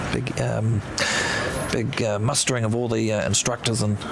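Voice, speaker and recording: Medium-pitched man with a New Zealand accent at a moderate pace, ordinary pitch variation, and noticeable background noise. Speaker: aviation livestream host. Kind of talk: live commentary. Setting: outdoors at airport. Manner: halting, many fillers.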